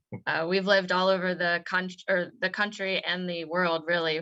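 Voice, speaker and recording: Bright and sharp in tone, a woman with an American accent speaks at a fairly low pitch and a fairly slow pace. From West Virginia, Morgantown. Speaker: business owner. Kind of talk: casual chat.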